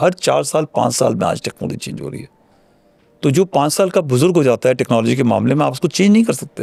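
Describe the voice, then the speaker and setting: A fairly high-pitched man with a dark, mellow tone and vocal fry speaks with lively intonation and big swings in loudness. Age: 60s. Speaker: retired army general. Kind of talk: interview.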